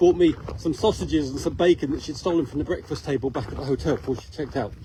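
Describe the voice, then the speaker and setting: A man talking at a very fast pace, his pitch swinging very widely, over noticeable background noise. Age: 60s. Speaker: ultramarathon runner vlogger. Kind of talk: casual vlog narration. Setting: outdoors. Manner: cheerful, chatty.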